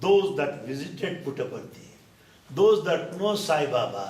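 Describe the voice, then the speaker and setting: A man with a Telugu accent at a fairly slow pace, amid audible room echo and noticeable background noise. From India, Andhra Pradesh. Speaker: spiritual speaker. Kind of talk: talk to a gathering. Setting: dinner event with audience. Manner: animated.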